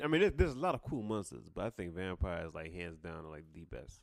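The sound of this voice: Rushing at a very fast pace in a New York accent, a man with a very deep, low pitch makes very wide pitch swings and big swings in loudness.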